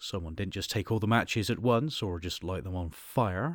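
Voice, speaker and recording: Pitched fairly low, a man speaks at a moderate pace in a very clean recording with a silent background. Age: 30s. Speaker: podcast host and voice actor. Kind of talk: scripted narration. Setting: home recording on PC. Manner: animated.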